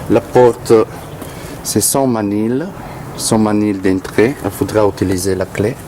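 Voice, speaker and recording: Through noticeable background noise, a man speaks at a fairly low pitch with an Italian accent. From Italy. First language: Italian (speaking French). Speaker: tenant showing his building. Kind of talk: video tour. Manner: halting, hesitant.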